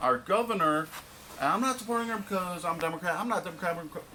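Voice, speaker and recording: Over noticeable background noise, a man talks very fast in a high pitch with very wide pitch swings. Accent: American. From Michigan, US. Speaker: vlogger. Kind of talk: rant. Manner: stumbling over words.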